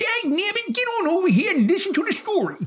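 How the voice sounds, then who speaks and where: A put-on character voice with an extremely high pitch. It races along at a very fast pace. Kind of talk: folksy, homespun.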